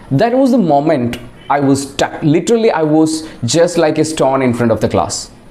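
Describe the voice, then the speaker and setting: A man with a Keralan accent and lively intonation, fairly high in pitch, at a moderate pace with very even loudness over noticeable background noise. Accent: Indian English, Malayali. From Kerala, India. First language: Malayalam. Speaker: English teacher and video creator. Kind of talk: casual personal talk to camera.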